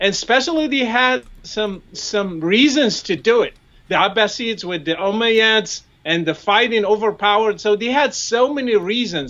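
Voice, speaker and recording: Speaking with an Arabic accent, a man uses a high pitch and lively intonation at a moderate pace. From Morocco. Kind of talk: interview discussion. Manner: halting.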